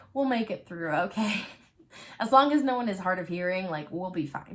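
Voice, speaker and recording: Noticeable background noise sits behind a woman talking at a fairly quick pace at medium pitch. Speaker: knitting and crochet podcaster. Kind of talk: casual chat. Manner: chatty.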